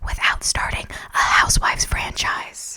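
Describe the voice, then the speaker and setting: A woman whispering at a moderate pace with noticeable background noise. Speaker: ASMR creator and comedy writer. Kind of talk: whispered late-night comedy news monologue. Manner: whispered, soft, comedic delivery.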